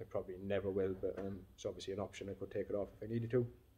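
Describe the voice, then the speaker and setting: A man's somewhat breathy voice, dark and mellow in tone, with monotone, flat intonation. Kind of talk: casual vlog chat. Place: workshop. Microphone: phone near.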